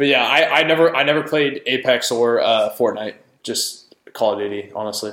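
In an American accent, a man talks at a moderate pace and medium pitch with ordinary pitch variation. It is an ordinary speaking voice. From California, Fresno. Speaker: college football player. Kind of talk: casual chat.

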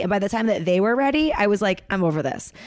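This is an ordinary speaking voice at a fairly quick pace. The intonation is lively. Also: woman. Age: 30s. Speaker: comedian. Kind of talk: casual chat. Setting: video call.

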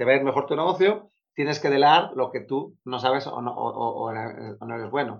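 A man talks at a fairly quick pace in a fairly high pitch. He has a plain, everyday voice. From Spain, Bilbao (Basque Country). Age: 40s. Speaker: productivity coach. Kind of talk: interview.

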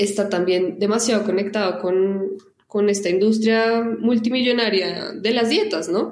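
In an ordinary speaking voice, a woman talks at a fairly slow pace, medium in pitch, her loudness very even and her intonation fairly even. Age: 20s. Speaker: advertising professional and foundation director. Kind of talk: interview.

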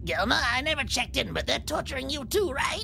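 A put-on character voice at a very fast pace over clear background noise. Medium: actual play.

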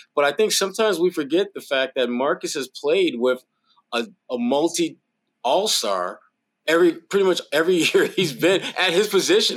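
Lively intonation carries the speech along at a moderate speed. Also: man, high pitch for a man. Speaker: sports analyst. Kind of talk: casual sports talk, post-game show.

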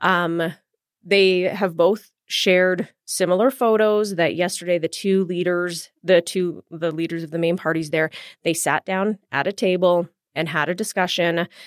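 Speaking at a fairly slow pace with a Western Canadian accent, a woman with a fairly low voice is heard in a dry, close recording with no echo, very clean and with a silent background. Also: fairly even intonation. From Edmonton, Alberta, Canada. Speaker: TV news host and producer. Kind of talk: interview.

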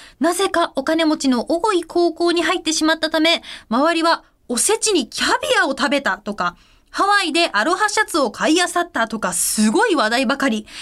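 Her extremely high pitch swings very widely as the woman speaks at a moderate pace on a very clean recording with a silent background. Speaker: radio host. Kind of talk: casual radio talk. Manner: animated.

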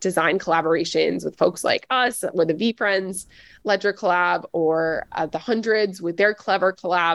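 A woman with an American accent speaks at a fairly slow pace in an ordinary speaking voice, her medium pitch carried by fairly even intonation over a quiet background, with a dry, close sound and no echo. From US South, Nashville, Tennessee. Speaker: web3 consultancy executive. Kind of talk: interview.

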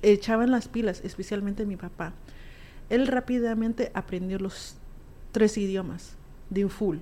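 A woman speaks at a fairly slow pace with long, frequent pauses, her medium-pitched voice dark and mellow with fairly even intonation. The recording is very clean, with a silent background. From US, Alamosa, Colorado; Guatemalan family. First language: raised trilingual: Spanish, Q'anjob'al, English (speaking Spanish). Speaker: musician and community advocate. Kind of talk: interview, casual chat.

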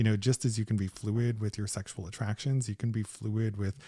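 A man with an American accent speaks at a fairly quick pace and fairly low pitch, somewhat breathy and dark and mellow in tone, in dry, close sound with no echo on a very clean recording with a silent background. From US Midwest, northeastern Ohio. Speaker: psychologist and sex researcher. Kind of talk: casual interview. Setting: in a home basement.

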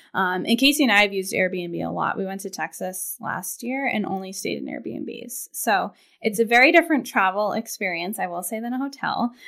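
Against a very clean recording with a silent background, a woman with medium pitch, a bright, sharp tone and vocal fry talks at a fairly quick pace with hardly any pauses, lively intonation and big swings in loudness. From Maine (Portland). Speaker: financial planner. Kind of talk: casual chat.

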